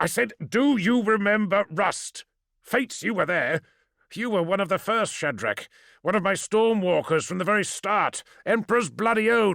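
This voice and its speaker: In a put-on character voice, a man speaks at a moderate pace with a high, shrill, raspy pitch and ordinary pitch variation, in a dry, close sound with no echo on a very clean recording with a silent background. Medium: read story. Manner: shouting, gruff.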